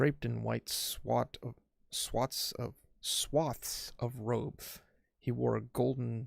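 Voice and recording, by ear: In a natural voice, someone reads aloud over a quiet background.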